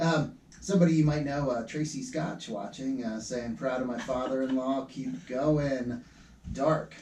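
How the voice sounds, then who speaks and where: Speaking at a fairly slow pace in an American accent, a man has a medium pitch, a dark, mellow tone and ordinary pitch variation, with audible room echo around him. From Pennsylvania. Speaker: community radio host. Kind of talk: radio interview, casual chat. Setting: radio studio. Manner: casual with many fillers.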